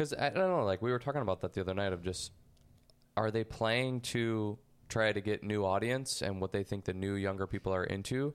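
An ordinary speaking voice from a man, fairly low in pitch with ordinary pitch variation and very even loudness, on a very clean recording with a silent background. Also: fairly quick pace. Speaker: podcast host. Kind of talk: casual chat.

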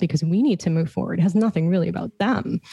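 Her voice somewhat breathy, a woman speaks at a fairly low pitch. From Toronto, Canada. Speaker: life transition coach and entrepreneur. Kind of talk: podcast interview.

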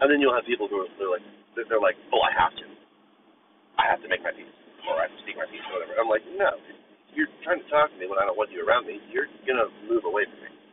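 Against noticeable background noise, a man speaks very fast but with long, frequent pauses. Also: big swings in loudness. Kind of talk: angry rant. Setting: in a car. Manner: loud, irritated, profanity-laden venting, fast and sarcastic; rambling, stream-of-consciousness.

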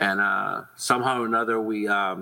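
A man speaks at a moderate pace with a fairly low pitch and vocal fry. His tone is bright and sharp, his intonation fairly even.

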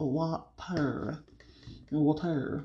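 Very deep and low, this woman's somewhat breathy voice carries a dark, mellow tone. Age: 30s. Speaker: podcast host. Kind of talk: casual chat. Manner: animated.

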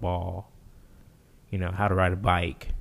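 A man's somewhat breathy, very deep, low voice at a moderate pace. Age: 20s. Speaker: podcast guest, host's nephew. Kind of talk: casual chat. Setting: studio.

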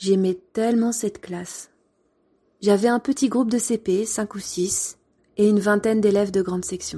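Somewhat breathy and dark, mellow in tone, the voice keeps a moderate pace and fairly even intonation with long, frequent pauses, on a very clean recording with a silent background. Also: woman, medium pitch for a woman. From France. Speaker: former primary school teacher, podcaster. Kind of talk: storytelling narration.

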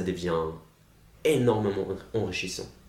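Audible room echo surrounds the voice. A man delivers his words at a fairly slow pace. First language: German (speaking French). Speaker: master's student. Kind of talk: casual chat. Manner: halting.

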